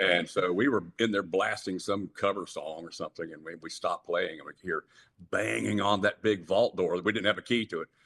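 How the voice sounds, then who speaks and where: A man with a Southern US accent, fairly quick, with a dry, close sound and no echo. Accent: Southern American. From Jacksonville, Florida. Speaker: rock singer. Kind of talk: interview answer. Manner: warm storytelling.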